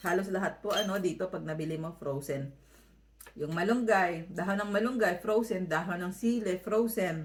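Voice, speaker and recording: Speaking at a moderate pace, a woman has an ordinary speaking voice with a medium pitch and ordinary pitch variation. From Philippines, Manila. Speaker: vlogger. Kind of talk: vlog voiceover.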